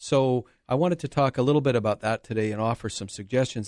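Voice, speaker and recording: Recorded dry and close with no echo, a man with a normal speaking voice talks at a fairly quick pace with ordinary pitch variation. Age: 60s. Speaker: lawyer. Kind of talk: radio interview.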